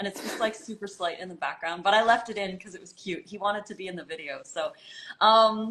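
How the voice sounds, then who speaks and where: At a fairly quick pace, a woman with a fairly high voice speaks over noticeable background noise. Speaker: raw food author and channel host. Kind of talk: casual interview chat.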